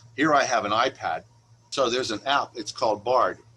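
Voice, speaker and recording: Fairly quick speech from a man, ordinary pitch variation, noticeable background noise throughout. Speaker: librarian. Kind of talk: presentation. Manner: fast.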